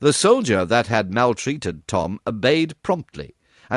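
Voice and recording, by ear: The background is quiet. Someone is reading aloud in a natural voice.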